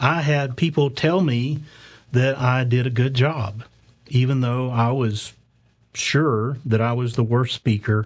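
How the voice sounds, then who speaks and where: In a very clean recording with a silent background, a man speaks very slowly in a medium pitch with a Southern US accent, sounding somewhat breathy. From US South. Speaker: conference speaker. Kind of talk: conference talk. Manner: light-hearted, halting with fillers.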